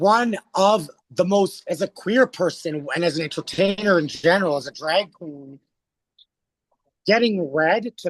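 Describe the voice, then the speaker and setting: In an animated tone, a man speaks at a high pitch with ordinary pitch variation. The moderate-paced delivery sounds dry and close, with no echo. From Alberta, Canada. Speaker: drag performer and theatre artist. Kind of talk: casual interview chat, storytelling.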